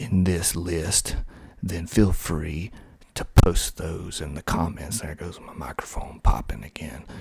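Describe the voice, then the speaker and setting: A man with an American accent, very deep and low in pitch, somewhat breathy, at a very slow pace. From US South, Georgia. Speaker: ASMR creator. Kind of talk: soft-spoken ASMR talk. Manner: soft-spoken.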